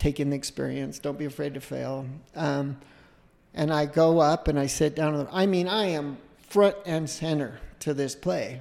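The speaker talks at a moderate pace with a Utah accent. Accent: American (Utah). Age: 50s. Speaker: entrepreneur and filmmaker. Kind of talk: interview testimony.

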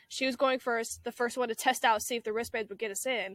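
Fairly quick and fairly high-pitched, a woman talks in an ordinary speaking voice. The recording is very clean, dry and close, with a silent background and no echo. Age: young. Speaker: college student podcast co-host. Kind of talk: casual chat.

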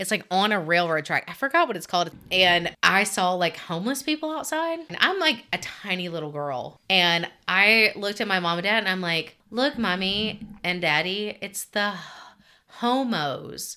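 On a very clean recording with a silent background, a woman with a Southern US accent speaks at a moderate pace and medium pitch, her tone bright and sharp and her intonation lively. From Alabama, US South. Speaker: podcast co-host. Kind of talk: casual chat.

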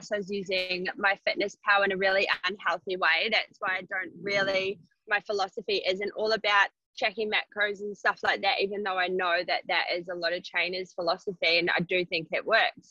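Fairly even intonation in a woman's voice of medium pitch. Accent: New Zealand. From New Zealand. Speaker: personal trainer. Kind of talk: casual chat.

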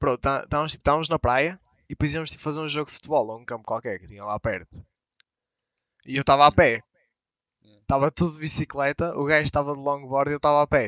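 A man with a European Portuguese accent, fairly high pitch and ordinary pitch variation, very fast pace with long, frequent pauses, and big swings in loudness. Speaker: podcast co-host. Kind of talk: casual chat.

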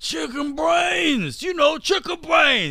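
A man shouts in a put-on character voice, pitched extremely high for a man, at a very slow pace. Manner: exaggerated.

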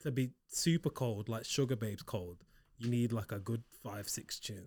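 With ordinary pitch variation, a man of medium pitch speaks at a moderate pace in a somewhat breathy voice. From Liverpool. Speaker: podcast co-host. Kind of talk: casual chat. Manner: animated.

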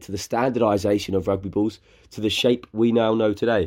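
A man speaks fairly quickly with a southern English accent, his pitch fairly low and his tone dark and mellow. The recording is very clean, with a silent background. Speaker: podcast host. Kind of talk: scripted intro; casual chat.

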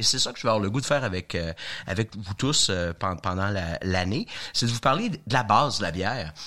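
A man speaks with a bright, sharp tone. His intonation is lively and his pace moderate. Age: 50s. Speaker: beer sommelier. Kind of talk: casual chat.

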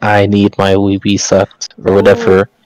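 A man puts on a robotic character voice, fairly low in pitch, with monotone, flat intonation at a moderate pace and a dry, close sound with no echo.

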